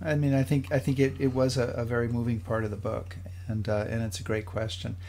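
A somewhat breathy male voice carries ordinary pitch variation. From Rhode Island. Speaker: podcast host. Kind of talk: casual chat. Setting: video call. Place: home room.

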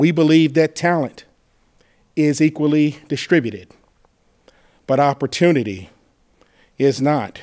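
A man speaks at a fairly slow pace in a fairly high pitch, with very even loudness and ordinary pitch variation. Long, frequent pauses break his speech against a quiet background. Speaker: university president giving remarks. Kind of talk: formal welcome remarks. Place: hall. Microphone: podium.

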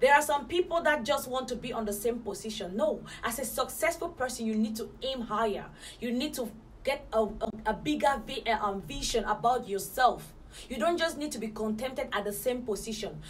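A woman's pitch varies in an ordinary way as she talks fairly quickly, with light noise in the background. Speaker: motivational vlogger. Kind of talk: motivational talk to camera. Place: home room.

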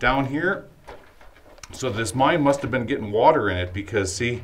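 A man talks at a moderate pace. Light background noise is audible. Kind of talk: exploration commentary. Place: tunnel cave. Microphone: phone near.

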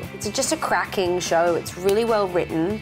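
At a moderate pace, a woman speaks while clear music plays behind her. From Australia. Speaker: actress. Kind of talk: interview answer. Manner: casual, jokey. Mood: relaxed, enthusiastic. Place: studio.

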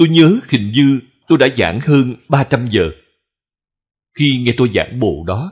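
A man speaks very slowly at a medium pitch, his voice somewhat breathy. He leaves long, frequent pauses. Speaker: Buddhist monk teacher. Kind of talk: sermon.

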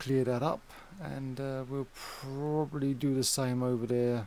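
A man with a British accent and a medium pitch. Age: 40s. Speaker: gaming youtuber. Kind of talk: casual gameplay commentary. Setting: home recording with fan running.

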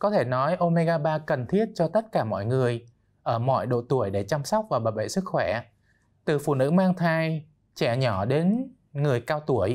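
Swinging very widely in pitch, a man with a fairly high voice speaks at a fairly slow pace. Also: very even loudness. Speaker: doctor; guest. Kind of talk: expert interview. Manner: formal. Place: studio. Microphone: lapel.

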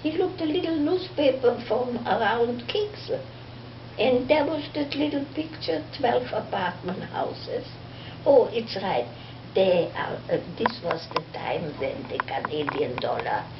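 The room echo is audible, with light background noise. A woman speaks at a fairly slow pace. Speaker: storyteller. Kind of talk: personal storytelling. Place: home room.

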